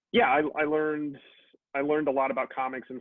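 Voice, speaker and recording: A man in a Miami accent talks at a fairly quick pace. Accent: American English, Miami. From Miami, Florida (Cuban American family). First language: Spanish. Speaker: writer and comics editor. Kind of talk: interview.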